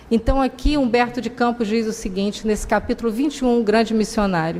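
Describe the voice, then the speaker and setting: Noticeable background noise sits behind a woman's voice. She speaks fairly high-pitched at a fairly quick pace. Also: ordinary pitch variation. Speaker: spiritist lecturer. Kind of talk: lecture. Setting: public talk at a spiritist center.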